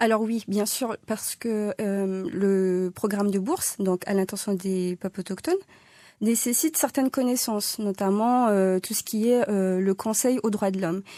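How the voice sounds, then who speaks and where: A woman's voice sits at a medium pitch with a dark, mellow tone. The recording is very clean, with a silent background. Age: young. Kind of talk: radio interview. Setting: radio studio.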